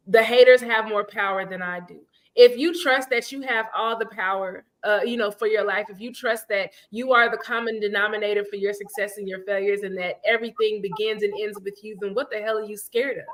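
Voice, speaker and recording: Pitched fairly high, a woman rushes along at a fairly quick pace with hardly any pauses, her animated tone marked by big swings in loudness. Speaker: podcast co-host. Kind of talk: casual chat.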